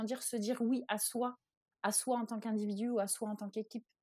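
A woman with a fairly high pitch and a dark, mellow tone speaks in a monotone, flat way at a moderate pace. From France. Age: 30s. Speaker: life and career coach. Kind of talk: interview, explanatory.

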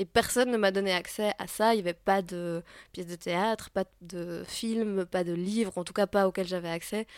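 There are big swings in loudness as a woman of medium pitch talks at a moderate pace, captured in a dry, close sound with no echo in a very clean recording with a silent background. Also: fairly even intonation. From Belgium. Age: 30s. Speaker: playwright and actress. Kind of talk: interview. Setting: at a theatre festival. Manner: hesitant with frequent fillers.

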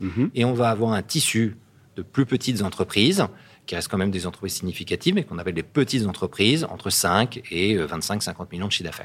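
At a very fast pace, a man talks in a fairly low pitch on a very clean recording with a silent background. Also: lively intonation. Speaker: company CEO. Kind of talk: interview.

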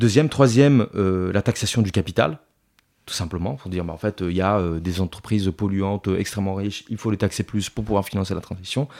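On a very clean recording with a silent background, a man talks at a fairly quick pace with fairly low pitch and ordinary pitch variation. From Italy. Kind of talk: interview. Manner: hesitant, many fillers.

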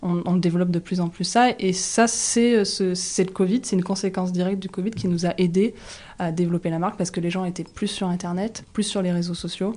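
This woman has a normal speaking voice at a medium pitch. She talks at a fairly quick pace with fairly even intonation. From rural southwest France near Toulouse. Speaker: shop co-founder and entrepreneur. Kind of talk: casual interview. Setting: in the shop.

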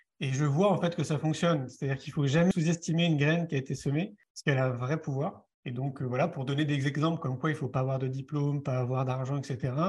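A man talks at a very fast clip with hardly any pauses, his pitch fairly high. His voice is somewhat breathy. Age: 40s. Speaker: author and film director, speaker. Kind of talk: interview. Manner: conversational, with fillers.

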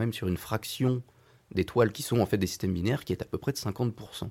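A man talks at a moderate pace with ordinary pitch variation, his voice somewhat breathy. The recording is very clean, with a silent background. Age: young. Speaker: astrophysicist, postdoctoral researcher. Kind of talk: radio interview.

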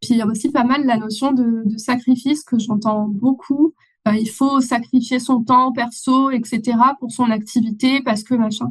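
Her pitch is high, and her intonation stays fairly even. The woman speaks at a fairly slow pace. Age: 30s. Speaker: online business manager. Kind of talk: interview.

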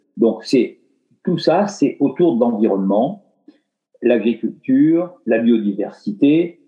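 A man's very slow delivery, with long, frequent pauses, very wide pitch swings and very even loudness. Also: medium pitch for a man. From France, Dordogne and Limoges. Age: 60s. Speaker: retired philanthropist. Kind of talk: casual interview.

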